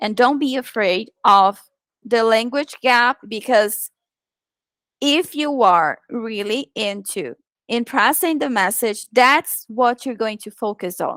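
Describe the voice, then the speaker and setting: At a very slow pace, a woman with a Portuguese accent and fairly high pitch shows ordinary pitch variation, on a very clean recording with a silent background and a dry, close sound with no echo. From Brazil. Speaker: virtual assistant and online presenter. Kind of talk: presentation.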